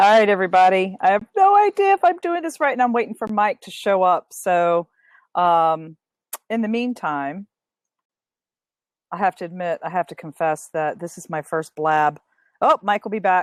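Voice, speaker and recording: A woman speaks loudly at a medium pitch and moderate pace, leaving long, frequent pauses. The recording is very clean with a silent background and a dry, close sound with no echo. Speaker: conference organizer and podcast interviewer. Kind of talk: casual livestream chat. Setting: live video stream, outdoors. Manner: casual with many fillers.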